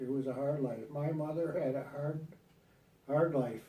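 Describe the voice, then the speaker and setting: Audible room echo carries a man's somewhat breathy voice of dark, mellow tone, fairly high pitch and moderate pace. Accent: American. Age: 80s+. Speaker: grandfather recording a family legacy video. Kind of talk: family oral history interview. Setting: at home on a couch, recorded on video. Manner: halting.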